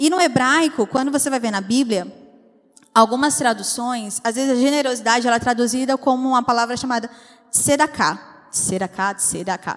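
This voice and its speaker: A woman speaks with a high-pitched voice. Noticeable background noise runs underneath. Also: ordinary pitch variation. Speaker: preacher. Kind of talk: sermon. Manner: fast.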